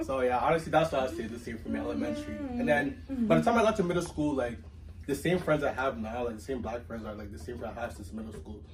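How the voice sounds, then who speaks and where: Over noticeable background noise and audible room echo, a man with a Toronto accent talks very fast at a medium pitch, with very wide pitch swings and big swings in loudness. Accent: Canadian English, Toronto-area. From Mississauga, Canada, Nigerian family. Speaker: university student, student club president. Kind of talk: casual chat.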